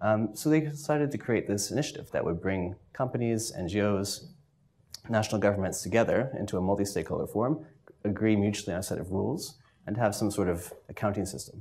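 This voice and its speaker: A man talks at a very fast pace with lively intonation. His voice is fairly low, with a dark, mellow tone. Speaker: university researcher. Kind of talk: presentation. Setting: stage with audience. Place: meeting room.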